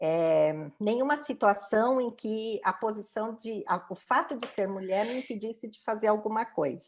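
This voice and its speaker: Over a very clean recording with a silent background, a woman talks in an unremarkable speaking voice. Her pitch is fairly high, her intonation lively and her pace fairly slow. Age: 60s. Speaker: diversity and inclusion professional. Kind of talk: interview testimony.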